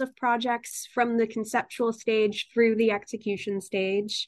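Against a quiet background, a woman with an American accent and high pitch talks at a fairly slow pace. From Connecticut (Newtown). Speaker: city government administrator. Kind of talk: radio interview.

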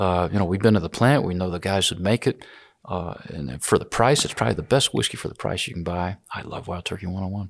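A very clean recording with a silent background captures a man speaking very fast in an American accent. His pitch is very deep and low, and his intonation is lively. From US South, Georgia. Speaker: whiskey distiller and business founder. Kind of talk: interview.

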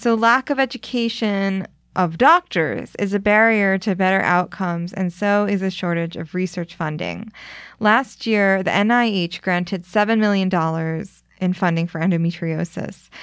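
With an American accent, a woman speaks at a fairly slow pace in a normal speaking voice, medium in pitch with ordinary pitch variation, on a very clean recording with a silent background. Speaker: podcast host. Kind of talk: scripted narration and interviewing.

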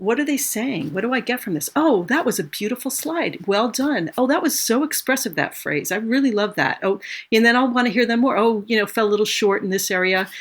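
With hardly any pauses, a woman with an unremarkable speaking voice talks at a fairly quick pace, with a fairly high pitch and lively intonation, on a very clean recording with a silent background. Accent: American. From Los Angeles, California. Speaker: orchestral musician. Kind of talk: casual interview.

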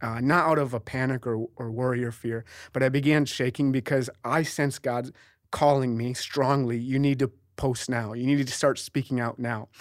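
In a very clean recording with a silent background, a man with a plain, everyday voice speaks at medium pitch and a moderate pace, his intonation fairly even. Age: 30s. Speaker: traveling evangelist and pastor. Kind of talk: casual chat.

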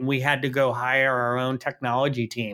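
In an American accent, a man with a plain, everyday voice at medium pitch speaks at a moderate pace. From New York City. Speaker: chief information officer. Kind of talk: interview.

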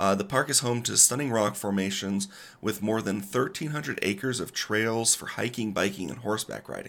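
A man with an American accent speaks at a fairly quick pace in a fairly low pitch, with ordinary pitch variation and a plain, everyday voice. The recording is very clean, with a silent background. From Colorado. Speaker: podcast co-host. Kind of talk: semi-scripted travel podcast.

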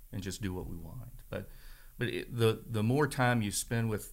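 A man with an American accent at a moderate pace, with ordinary pitch variation and an unremarkable speaking voice. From northern Virginia, Shenandoah Valley. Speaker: church member sharing his story. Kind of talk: testimony.

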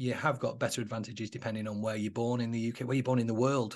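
Over a quiet background, a man with a Mancunian accent speaks at medium pitch with ordinary pitch variation. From Manchester, England (Moss Side). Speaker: entrepreneur and coach. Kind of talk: podcast interview.

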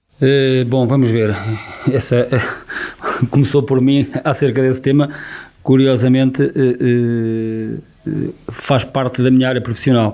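Over noticeable background noise, a man speaks at a very slow pace at a medium pitch, with very even loudness and monotone, flat intonation. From Portugal, Viseu district. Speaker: local election candidate. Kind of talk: radio election debate. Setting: radio studio.

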